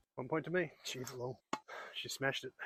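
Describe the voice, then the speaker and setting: This man has a fairly high pitch and an Australian accent. His tone is bright and sharp. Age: 60s. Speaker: amateur tennis player. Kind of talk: live commentary during a tennis match. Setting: outdoors.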